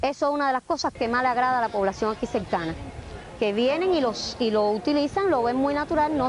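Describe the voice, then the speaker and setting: Amid noticeable background noise, a woman speaks at a moderate pace in a high pitch with lively intonation. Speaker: urban farmer. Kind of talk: interview.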